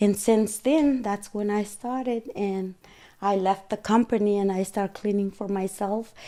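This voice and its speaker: A woman speaks with a Guatemalan accent at medium pitch, her tone dark and mellow. Her pace is fairly slow and her intonation fairly even. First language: Spanish. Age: 40s. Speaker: cleaning business owner. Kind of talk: interview.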